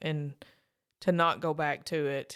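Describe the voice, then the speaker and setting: On a very clean recording with a silent background, a woman with an Appalachian accent and a very deep, low pitch talks at a fairly slow pace with fairly even intonation. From Eastern Kentucky. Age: 40s. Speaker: author in long-term addiction recovery. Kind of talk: interview.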